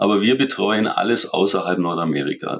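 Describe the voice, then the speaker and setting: The pace is moderate as a man talks. Pitch variation stays ordinary. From Germany, Allgäu (Kaufbeuren). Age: 50s. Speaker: sporting goods company executive. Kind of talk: interview.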